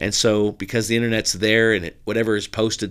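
At a very fast pace, a man with a Californian accent speaks at a medium pitch in a bright, sharp tone. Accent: General American, Californian. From Southern California. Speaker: pastor. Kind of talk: interview conversation.

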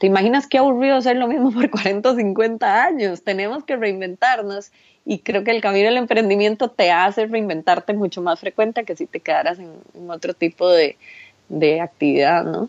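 With lively intonation and a medium pitch, this woman talks at a moderate tempo. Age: 40s. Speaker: online seller, entrepreneur. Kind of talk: interview.

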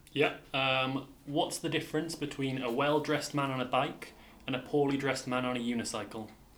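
A man speaks at a fairly quick pace in a medium pitch. His intonation is monotone and flat, with noticeable background noise behind him. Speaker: junior doctor. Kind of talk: casual chat.

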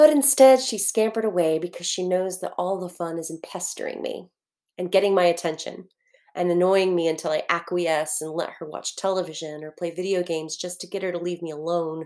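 Fairly low in pitch with a dark, mellow tone, a woman talks at a fairly quick pace, showing ordinary pitch variation and big swings in loudness. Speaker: fiction narrator. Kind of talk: literary audiobook reading, first-person fictional letter. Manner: intimate, wistful, earnest; measured, reflective narration pace.

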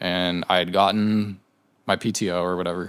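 Very deep and low in pitch, a man speaks with an American accent and fairly even intonation. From Southern California. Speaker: graphic designer. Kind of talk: casual chat.

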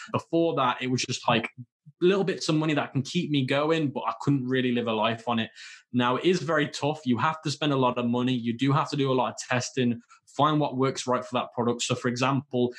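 A man with a British accent speaks at a very fast pace with fairly even intonation. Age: 20s. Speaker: e-commerce entrepreneur. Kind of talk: interview.

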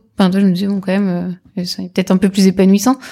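A woman's voice, somewhat breathy and pitched in the medium range, carries a dark, mellow tone. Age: 30s. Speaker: entrepreneur, former digital marketer. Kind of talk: casual interview.

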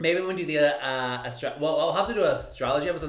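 Background noise is clearly audible while this man talks. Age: 30s. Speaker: podcast co-host. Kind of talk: casual chat.

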